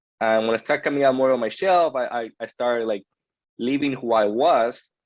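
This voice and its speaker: With a Peruvian accent, a man talks fairly quickly at a medium pitch with ordinary pitch variation. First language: Spanish. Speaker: podcast guest. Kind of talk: interview. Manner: halting, with many self-corrections.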